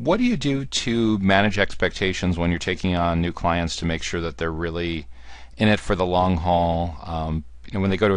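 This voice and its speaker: A man with an American accent speaks at a fairly quick pace. His pitch is very deep and low, with ordinary variation. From US Northeast, Central New Jersey. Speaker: podcast host, marketing executive. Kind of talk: interview podcast.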